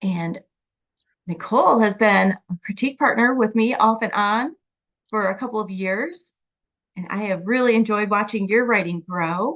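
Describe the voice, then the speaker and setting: A woman speaks in an unremarkable speaking voice at a fairly high pitch. Her pace is moderate and her pitch varies in an ordinary way. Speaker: podcast guest host and picture book writer. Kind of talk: podcast interview host.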